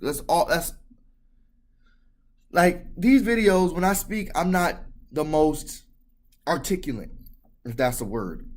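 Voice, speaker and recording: Pitched high, a man speaks at a very slow pace with long, frequent pauses, and audible room echo surrounds him. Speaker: video blogger. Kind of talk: vlog monologue. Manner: hesitant, many fillers.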